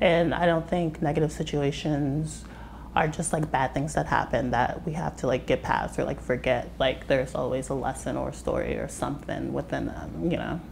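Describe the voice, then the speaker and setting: A woman with an American accent at a moderate pace, with noticeable background noise. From US West, Las Vegas; Nevada. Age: young. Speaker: musician; interviewee. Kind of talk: casual interview. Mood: calm, reflective. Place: kitchen. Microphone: lapel.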